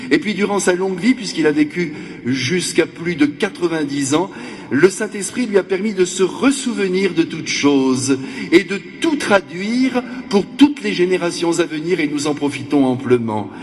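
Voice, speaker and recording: Over noticeable background noise, a high-pitched man speaks at a moderate pace with very wide pitch swings. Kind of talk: sermon. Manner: animated.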